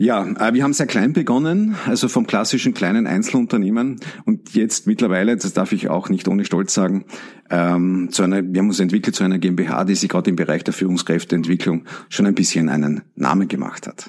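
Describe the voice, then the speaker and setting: In an Austrian accent, a man with a very deep, low pitch speaks at a fairly quick pace with ordinary pitch variation. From Austria, Carinthia. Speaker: leadership trainer. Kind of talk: interview.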